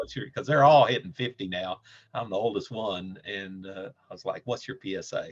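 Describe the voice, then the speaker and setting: A man talks with big swings in loudness and ordinary pitch variation. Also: medium pitch for a man, moderate pace. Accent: Southern US. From Nashville, Tennessee. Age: 60s. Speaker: cancer patient. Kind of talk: interview.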